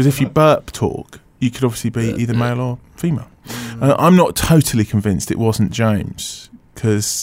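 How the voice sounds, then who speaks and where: Using a plain, everyday voice, the speaker moves along at a fairly quick clip with ordinary pitch variation and hardly any pauses. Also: man, medium pitch for a man. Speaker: radio show host. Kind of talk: casual radio chat. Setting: radio studio. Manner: bantering, laughing.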